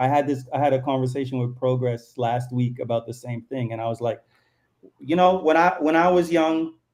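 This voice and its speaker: A man's fairly high pitch in a dark, mellow tone, with ordinary pitch variation. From Canada, Toronto. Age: 40s. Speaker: artist and cultural commentator. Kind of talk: casual chat. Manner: animated.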